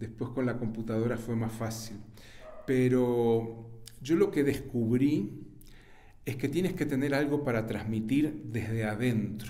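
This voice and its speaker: Someone with a Uruguayan accent speaks at a fairly slow pace with ordinary pitch variation and audible room echo. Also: man, medium pitch for a man. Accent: Rioplatense Spanish (Uruguayan). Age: 70s. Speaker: writer and journalist. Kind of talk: interview.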